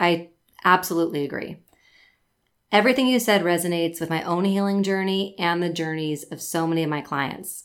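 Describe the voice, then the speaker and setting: In a very clean recording with a silent background, a woman speaks in a normal speaking voice at a fairly low pitch and moderate pace, with ordinary pitch variation. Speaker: Pilates instructor and podcast host. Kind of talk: casual chat; sales pitch.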